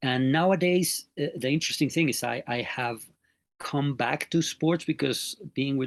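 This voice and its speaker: A man with a Mexican accent speaks at a fairly slow pace with ordinary pitch variation, in a dry, close sound with no echo against a quiet background. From Mexico. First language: Spanish. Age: 50s. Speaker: NLP trainer and sports mental coach. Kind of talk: interview. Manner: hesitant, many filler sounds.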